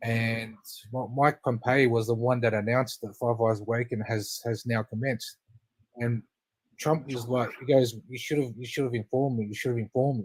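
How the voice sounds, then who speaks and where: A somewhat breathy man with an Australian accent, medium in pitch, flat and monotone, at a fairly quick pace. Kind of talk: casual chat.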